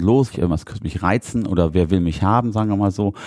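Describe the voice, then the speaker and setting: Over a silent background in a very clean recording, a man talks very fast with a dark, mellow tone at a fairly low pitch. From Lower Rhine, Germany (Kleve, Moers). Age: 40s. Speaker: cultural centre director. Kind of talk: interview.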